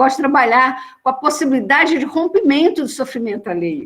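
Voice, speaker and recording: A woman's delivery, neither fast nor slow, carries lively intonation. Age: 60s. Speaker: social worker. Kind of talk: panel discussion. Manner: animated.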